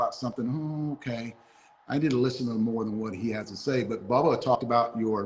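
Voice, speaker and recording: A man talks very fast. His pitch sits in the medium range. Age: 60s. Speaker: bat reviewer and channel host. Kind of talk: casual chat. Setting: live stream. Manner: fast when excited; animated.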